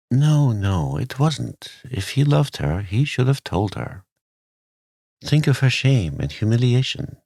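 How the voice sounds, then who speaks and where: Soft-spoken and soothing, the dark, mellow voice moves at a fairly slow pace with lively intonation. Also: man, medium pitch for a man. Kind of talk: sleep story. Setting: studio. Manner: soft-spoken, soothing.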